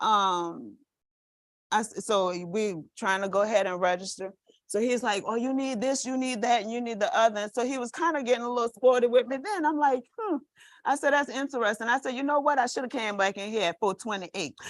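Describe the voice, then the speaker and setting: At a fairly quick pace, a woman talks in an animated tone with a fairly high pitch and ordinary pitch variation. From New Orleans. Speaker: nurse. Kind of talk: storytelling to a class.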